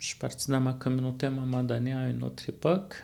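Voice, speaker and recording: A man speaks with a Quebec accent. His pitch is fairly high. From Manawan, Atikamekw community, Quebec. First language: Atikamekw (speaking French). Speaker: college student life facilitator. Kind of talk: interview. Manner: hesitant, many fillers.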